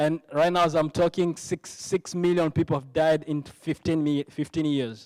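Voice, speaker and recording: Here a man with a Congolese accent speaks at a moderate pace with fairly even intonation. The sound is dry and close, with no echo. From DR Congo, Goma. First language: French. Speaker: ministry worker giving testimony. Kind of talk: testimony. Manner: halting, with repetitions and false starts.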